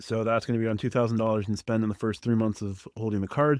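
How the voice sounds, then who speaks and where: In a quiet background with a dry, close sound and no echo, a man talks at a very fast pace. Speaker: credit card news youtuber. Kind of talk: news roundup monologue.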